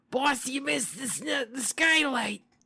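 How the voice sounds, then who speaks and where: A raspy, high-pitched, put-on character voice moves at a moderate pace. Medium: read story. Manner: fawning, eager.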